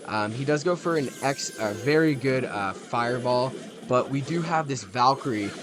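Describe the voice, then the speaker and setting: Over noticeable background noise, a man talks at a moderate pace. His pitch is medium with ordinary variation. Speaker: gaming YouTuber. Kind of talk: live gameplay commentary. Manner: animated.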